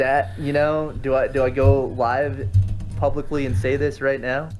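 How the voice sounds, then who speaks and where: Music plays in the background as a man speaks at a fairly slow pace. His medium pitch shows ordinary variation. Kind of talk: casual podcast conversation.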